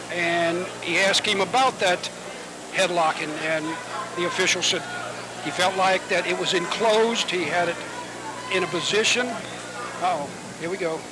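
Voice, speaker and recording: Amid noticeable background noise, a man talks at a high pitch and a moderate pace, with long, frequent pauses. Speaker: wrestling commentator. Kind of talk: live commentary. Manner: animated. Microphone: audio issues.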